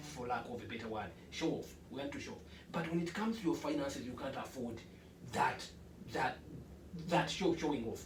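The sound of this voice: A man speaks at a moderate pace and medium pitch, with audible room echo around him. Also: ordinary pitch variation.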